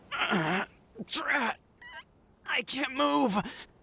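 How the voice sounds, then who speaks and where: In a put-on character voice, the speaker sounds raspy and fairly high-pitched, with very wide pitch swings. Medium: video game. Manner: deferential.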